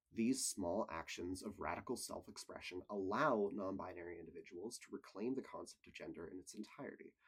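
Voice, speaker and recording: A man in a normal speaking voice moves at a fairly quick pace with hardly any pauses, his fairly low pitch showing ordinary pitch variation and big swings in loudness. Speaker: college student. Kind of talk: scripted video essay narration.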